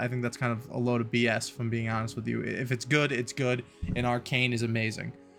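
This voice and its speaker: Music plays in the background while a man talks very fast. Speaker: video essayist. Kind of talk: video essay, read from script. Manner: monotone, robotic reading; casual asides.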